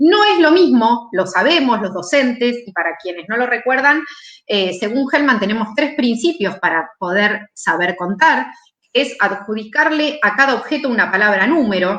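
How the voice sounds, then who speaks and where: With lively intonation, her fairly high-pitched voice marks this woman's speech. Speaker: math education specialist, teacher trainer. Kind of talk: lecture, online teacher training talk. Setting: live stream presentation. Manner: fast.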